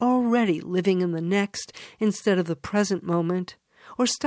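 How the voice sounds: Natural read-aloud delivery, its pitch moving in an ordinary way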